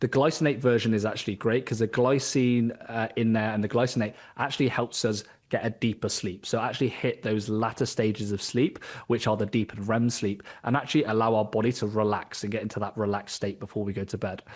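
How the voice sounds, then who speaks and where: Against a quiet background, a man with a British accent speaks at a very fast pace, medium pitch and fairly even intonation. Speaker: executive health coach. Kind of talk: podcast interview.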